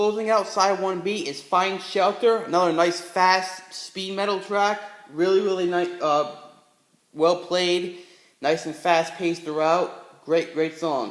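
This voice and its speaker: Fairly even in intonation, the speaker talks at a fairly slow pace. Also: man, high pitch for a man. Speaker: music reviewer. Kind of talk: casual talk to camera. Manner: stuttering, hesitant.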